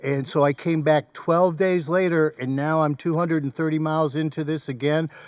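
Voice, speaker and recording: A flat, monotone delivery at a moderate pace, with hardly any pauses. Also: man, fairly high pitch for a man. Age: 70s. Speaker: thru-hiker. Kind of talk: casual chat. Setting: outdoors on a trail.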